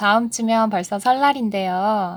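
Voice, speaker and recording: A woman's fairly high voice at a fairly slow pace, a plain, everyday voice with ordinary pitch variation on a very clean recording with a silent background. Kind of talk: casual book talk.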